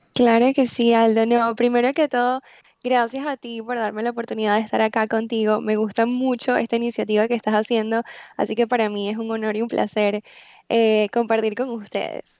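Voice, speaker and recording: A woman talks at a fairly quick pace in a fairly high voice with monotone, flat intonation. The sound is dry and close, with no echo. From Venezuela. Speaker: life coach. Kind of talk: interview.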